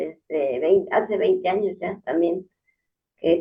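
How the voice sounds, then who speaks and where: The woman's voice sits at a fairly low pitch. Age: 60s. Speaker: patient, homemaker. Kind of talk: testimony.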